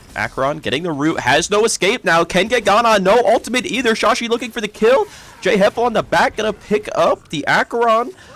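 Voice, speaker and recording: Over noticeable background noise, a man with a high pitch talks at a fairly quick pace with lively intonation. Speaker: esports caster and streamer. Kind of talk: live commentary. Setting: home live stream. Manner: animated; fast.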